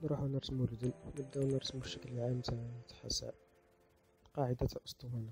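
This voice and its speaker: A man's medium-pitched voice over music in the background, at a fairly quick pace with long, frequent pauses, fairly even intonation, and big swings in loudness. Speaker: drawing tutorial creator. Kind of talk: tutorial. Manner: casual.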